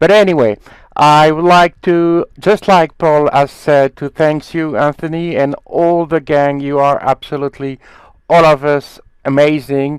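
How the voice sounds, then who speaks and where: With a French accent and fairly even intonation, a man talks at a fairly slow pace in a dry, close sound with no echo. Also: fairly high pitch for a man. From France. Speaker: magician, country representative. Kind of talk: thank-you speech in a meeting.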